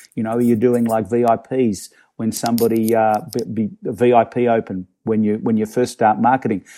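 A man speaks with a dark, mellow tone at medium pitch. His intonation is fairly even, his pace moderate, and the recording very clean with a silent background. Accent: Australian. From Australia, Melbourne. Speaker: real estate agent and startup co-founder. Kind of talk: interview.

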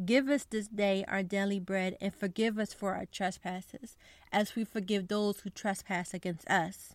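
A woman talks in a normal speaking voice at a medium pitch, with fairly even intonation and a fairly slow pace. The sound is dry and close, without echo. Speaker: podcast host. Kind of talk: devotional podcast, reading prayer aloud; fervent prayer, earnest and heartfelt, spoken as a petition for persecuted believers. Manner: warm, earnest, sincere; conversational, friendly, somewhat casual with fillers.

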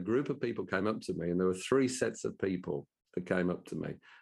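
Over a quiet background, a man with a Brummie accent talks at a very fast pace with ordinary pitch variation. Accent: Brummie (Birmingham English). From Birmingham, England. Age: 60s. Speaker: business owner and professional speaker. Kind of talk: interview conversation.

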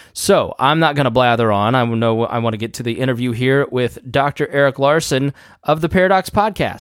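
A man at medium pitch and a fairly quick pace with ordinary pitch variation, a plain, everyday voice, in a very clean recording with a silent background. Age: 30s. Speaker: podcast host. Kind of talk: interview.

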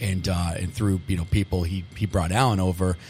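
With music in the background, a man with an American accent speaks at a fairly quick pace in a very deep, low pitch, his intonation fairly even. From Massachusetts (Medford, Boston area). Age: 40s. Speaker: restaurant owner and chef. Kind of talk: interview.

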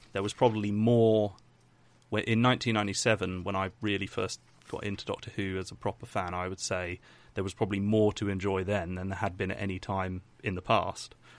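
Over a silent background in a very clean recording, a man with an English accent speaks fairly quickly in a fairly low, monotone, flat voice. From England. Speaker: YouTube documentary maker. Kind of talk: casual interview.

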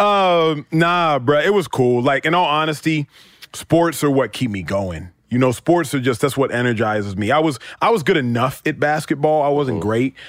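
A man speaks with an American accent in an unremarkable speaking voice, pitched fairly high. His intonation is lively and his pace moderate. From US South, Dallas, Texas. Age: 30s. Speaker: retired football player turned sports talk host. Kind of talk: casual chat.

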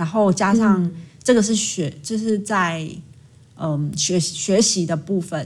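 A woman's medium-pitched, somewhat breathy voice with ordinary pitch variation and a Taiwanese accent. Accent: Taiwanese Mandarin. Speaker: school counseling psychologist. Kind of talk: casual interview chat.

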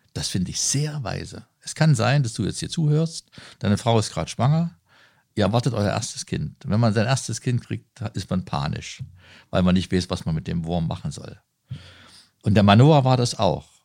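A man speaks at a moderate pace with a medium pitch, his voice swinging very widely up and down. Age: 50s. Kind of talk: interview. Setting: on site at a leisure centre.

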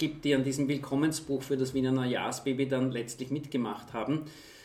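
A flat, monotone delivery at a moderate pace, with audible echo from the room. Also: man, hardly any pauses. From Austria, Vienna. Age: 40s. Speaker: charity executive. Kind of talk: interview. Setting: office.

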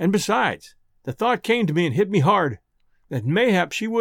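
Lively intonation shapes an unforced reading voice, with a quiet background behind it.

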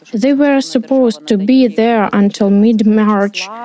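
Speaking at a very slow pace, a woman with a Ukrainian accent keeps her intonation fairly even. Her voice is fairly high in pitch, with a dark, mellow tone. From eastern Ukraine, Donetsk region. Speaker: interpreter voicing a displaced coach. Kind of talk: dubbed testimony.

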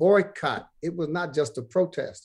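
A man with an American accent in a normal speaking voice, moderate pace and ordinary pitch variation, over a quiet background. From Brooklyn, New York. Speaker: pastor. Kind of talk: interview.

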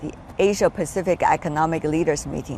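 Talking at a fairly quick pace, a woman uses a plain, everyday voice with fairly even intonation. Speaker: TV news interviewer. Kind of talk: interview.

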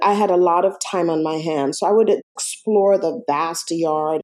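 A woman's dark, mellow tone at a fairly slow pace, in a very clean recording with a silent background. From Jamaica, countryside. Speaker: domestic violence survivor, actress and singer. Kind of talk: testimony.

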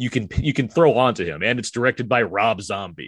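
A man talks with an ordinary speaking voice at a medium pitch and a fairly quick pace. The sound is dry and close with no echo over a quiet background. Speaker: podcast host. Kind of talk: casual chat.

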